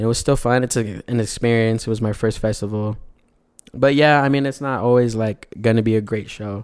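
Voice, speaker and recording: A man with an American accent speaks at medium pitch with fairly even intonation, in an ordinary speaking voice. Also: fairly quick pace, very clean recording, silent background. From El Paso, Texas. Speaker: R&B singer. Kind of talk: casual chat.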